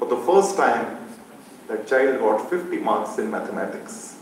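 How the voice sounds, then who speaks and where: A man with a Rajasthani accent speaks at a moderate pace with a fairly high pitch and lively intonation. Noticeable background noise and audible room echo surround his voice. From Maharashtra, India. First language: Marwadi. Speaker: school founder, educator. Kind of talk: speech at symposium.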